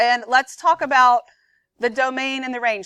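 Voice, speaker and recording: A woman speaks in a high, bright, sharp voice. The recording is very clean, with a silent background. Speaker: math teacher. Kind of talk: classroom lecture. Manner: fast; conversational.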